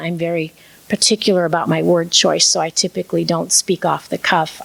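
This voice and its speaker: Noticeable noise sits behind a woman who speaks rather briskly. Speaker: minister and storyteller. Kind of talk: talk on preaching and storytelling.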